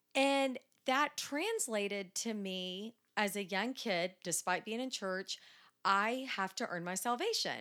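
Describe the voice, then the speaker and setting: On a very clean recording with a silent background, a woman with an American accent speaks at a very slow pace, with medium pitch, lively intonation and a bright, sharp tone. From Dallas, Texas. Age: 40s. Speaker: church member. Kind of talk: casual interview.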